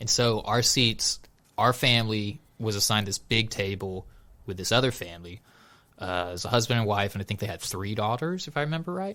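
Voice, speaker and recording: A man with a fairly low voice and a slight Southern US accent, bright and sharp in tone, lively in intonation, at a fairly quick pace, on a very clean recording with a silent background. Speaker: podcast host. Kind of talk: casual chat. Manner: animated.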